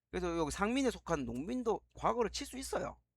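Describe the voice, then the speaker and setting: A man talks at a fairly quick pace. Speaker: history teacher. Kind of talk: lecture. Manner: fast.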